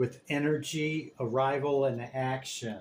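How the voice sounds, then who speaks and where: A man speaks very slowly at a medium pitch, somewhat breathy, with ordinary pitch variation. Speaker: tarot reader. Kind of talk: tarot reading. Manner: casual, repeats okay.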